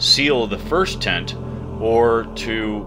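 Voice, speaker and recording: Music sounds in the background. Over it, a man talks at a medium pitch. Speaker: miniature terrain crafter. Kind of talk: crafting tutorial narration. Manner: playful, mock-dramatic.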